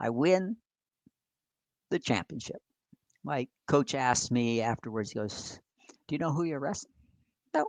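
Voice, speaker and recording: Lively intonation at a moderate pace, with long, frequent pauses and a dry, close sound with no echo. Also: man, fairly high pitch for a man. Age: 60s. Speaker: army veteran and depression advocate. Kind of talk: interview storytelling.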